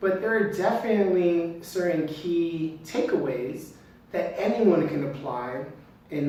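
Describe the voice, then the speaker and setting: A man speaks slowly, at a fairly high pitch. The room has an audible echo, and there is noticeable background noise. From United States. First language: not English. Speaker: entrepreneur. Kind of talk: talk to camera.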